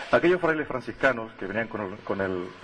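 Light background noise is audible. A man talks over it. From Canary Islands, La Palma. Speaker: local historian and festival crier. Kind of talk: ceremonial speech read aloud. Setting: public square with audience. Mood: solemn, ceremonial. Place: street. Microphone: podium.

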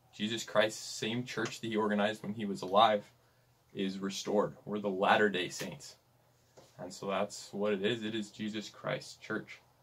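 This man talks in a fairly low voice with a Western US accent and fairly even intonation. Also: moderate pace. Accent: US Western American. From Utah. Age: young. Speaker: missionary; podcast guest. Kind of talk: interview conversation. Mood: earnest, sincere. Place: home room.

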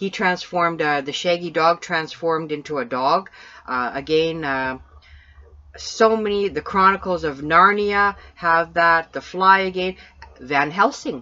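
In a Canadian accent, a woman with a fairly low pitch and a bright, sharp tone talks at a fairly slow pace with ordinary pitch variation over a quiet background. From Canada. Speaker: paranormal podcast co-host. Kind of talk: casual chat.

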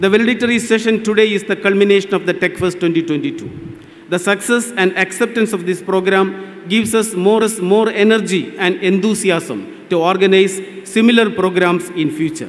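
At a moderate pace with hardly any pauses, a man speaks in a high pitch with ordinary pitch variation. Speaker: event host giving welcome address. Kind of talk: formal welcome speech. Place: stage. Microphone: podium.

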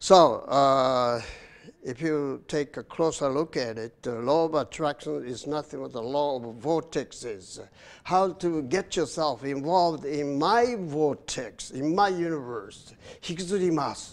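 Very slowly, a man speaks at a fairly high pitch with ordinary pitch variation. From Japan. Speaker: TV host and English educator; show host, commentator. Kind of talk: lecture-style monologue. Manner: frequent filler hesitations (uh); code-switching between English and Japanese. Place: studio.

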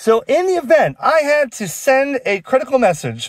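A man speaks in a dry sound with no echo. Behind him the background is quiet. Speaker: ham radio hobbyist. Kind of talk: casual vlog chat. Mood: sarcastic, animated. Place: car. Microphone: phone near.

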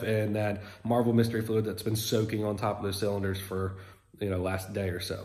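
Fairly quick, somewhat breathy speech against a quiet background. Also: man. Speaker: car restoration vlogger. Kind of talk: casual vlog chat. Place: garage. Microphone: phone near.

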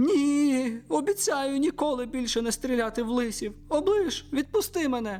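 A man's squeaky, put-on character voice at a moderate pace with hardly any pauses. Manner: plaintive, squeaky.

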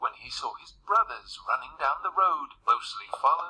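This is a natural reading voice. It has no other marked features.

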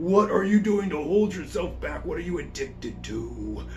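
A man performs a put-on character voice at a moderate pace. Clear background noise runs underneath. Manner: menacing, probing.

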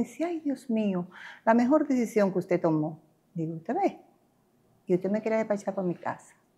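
With a dark, mellow, somewhat breathy tone, a woman speaks over a quiet background, her pitch swinging very widely. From Dominican Republic. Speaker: real estate agent, cancer survivor. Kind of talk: interview testimony. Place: home room. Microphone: lapel.

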